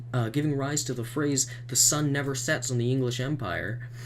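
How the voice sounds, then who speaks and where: A man speaks in a somewhat breathy voice. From Canada, Manitoba. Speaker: YouTuber, vlogger. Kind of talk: rant. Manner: animated; halting, self-correcting.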